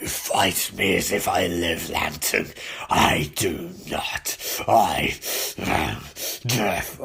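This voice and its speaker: A man uses a raspy, put-on character voice. He speaks at a very slow pace. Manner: menacing, declarative.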